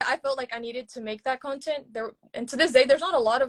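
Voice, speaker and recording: A woman with an American accent talks very fast, and the sound is dry and close with no echo. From rural East Texas. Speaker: social media educator. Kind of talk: interview conversation. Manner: casual, filler-heavy.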